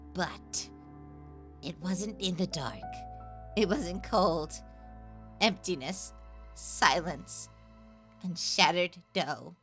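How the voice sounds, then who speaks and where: A female-sounding put-on character voice, raspy and fairly low, moves at a very slow pace with long, frequent pauses. Faint music plays in the background. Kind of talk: comic dub narration. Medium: dub.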